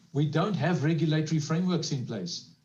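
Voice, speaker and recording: Audible room echo surrounds a man's somewhat breathy, fairly high voice as he talks at a very fast pace. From South Africa. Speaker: panelist on social economy. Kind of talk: panel discussion.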